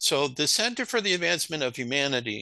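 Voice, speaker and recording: Against a quiet background, a man's bright, sharp tone comes through in dry, close sound with no echo. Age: 60s. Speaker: spiritual author and researcher. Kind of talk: interview. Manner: halting.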